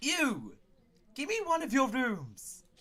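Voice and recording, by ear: A man puts on a character voice with an extremely high pitch and a bright, sharp tone. He speaks slowly, with very wide pitch swings.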